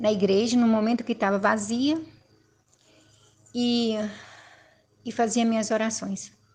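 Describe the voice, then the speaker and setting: Somewhat breathy and with a dark, mellow tone, a woman speaks at a fairly high pitch with fairly even intonation. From Brazil, Minas Gerais. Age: 60s. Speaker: former Jehovah's Witness giving testimony. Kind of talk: personal testimony.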